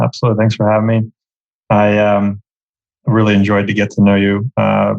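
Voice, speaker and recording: In a dry, close sound with no echo, a man with a fairly low pitch talks at a fairly quick pace in a monotone, flat intonation. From Uzbekistan. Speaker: entrepreneur. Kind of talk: interview. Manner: casual.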